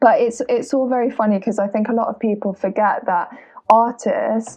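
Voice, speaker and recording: This woman's voice has a fairly high pitch. She talks at a moderate pace with fairly even intonation. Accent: British. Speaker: singer-songwriter. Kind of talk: interview.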